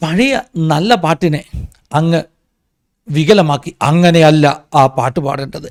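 A man talks in a normal speaking voice, fairly high in pitch with ordinary pitch variation. The sound is dry and close, with no echo. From Kerala, Ranni (Pathanamthitta). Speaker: pastor and commentary vlogger. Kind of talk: opinion commentary monologue.

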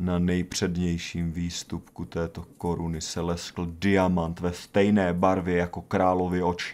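A dramatic tone is delivered in a monotone, flat manner at a very slow pace with hardly any pauses, in a very clean recording with a silent background. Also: man, very deep, low pitch for a man. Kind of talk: scripted horror narration. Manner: slow, grave, hushed storytelling with dramatic pauses; formal, ominous tone.

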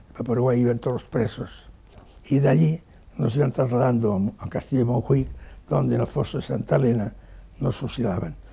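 A man speaks with vocal fry and a dark, mellow tone. He leaves long, frequent pauses, with ordinary pitch variation. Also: fairly quick pace, big swings in loudness. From Spain, Barcelona; Catalonia, Spain. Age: 80s+. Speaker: war veteran. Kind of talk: interview testimony. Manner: halting, frequent repetitions. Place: home room.

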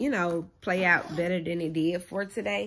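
A woman speaks at a moderate pace. Her voice has ordinary pitch variation. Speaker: vlogger. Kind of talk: casual vlog chat. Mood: animated, venting disappointment. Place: home room. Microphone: phone near.

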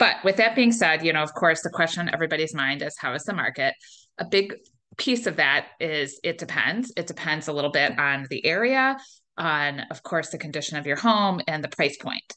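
Against a quiet background, a woman with an American accent talks at a fairly low pitch. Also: lively intonation, fairly quick pace. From Northeast Ohio. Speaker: realtor. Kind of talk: webinar presentation. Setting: online webinar. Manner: casual, conversational with filler words. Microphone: webcam.

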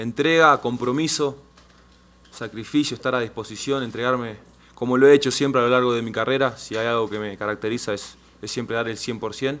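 Fairly quick speech with a Rioplatense accent and fairly even intonation. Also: man. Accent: Argentine Rioplatense Spanish. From Argentina, Rosario; Argentina. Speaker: professional footballer. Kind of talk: press conference. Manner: halting, frequent fillers and repetitions. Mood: calm, hopeful. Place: meeting room. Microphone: podium.

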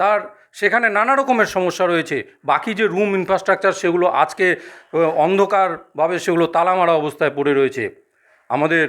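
The recording is very clean, with a silent background. The loudness stays very even, with ordinary pitch variation. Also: man, high pitch for a man. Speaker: local resident interviewee. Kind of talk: interview comments.

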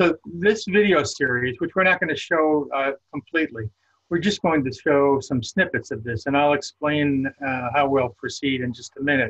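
Against a quiet background, a man with a fairly high voice talks with ordinary pitch variation. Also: moderate pace. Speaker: prison ministry director. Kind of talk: webinar presentation. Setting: video call. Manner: halting, many fillers. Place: home room. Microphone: webcam.

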